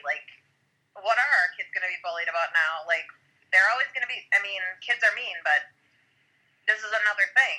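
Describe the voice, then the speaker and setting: This woman's voice is fairly high, with a bright, sharp tone. She talks at a fairly quick pace. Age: 40s. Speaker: podcast guest, parent. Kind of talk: casual chat.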